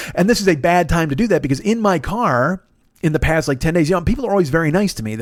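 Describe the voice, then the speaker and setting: Intonation is lively throughout. A man speaks at a very fast pace. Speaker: voiceover artist; rideshare driver. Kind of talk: informal. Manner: casual, rambling, frequent profanity.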